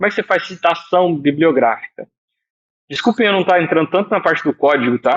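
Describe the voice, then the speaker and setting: At a fairly quick pace, a man speaks with a high pitch, ordinary pitch variation and very even loudness, the sound dry and close with no echo. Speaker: math teacher and LaTeX tutorial creator. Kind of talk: online lecture / tutorial.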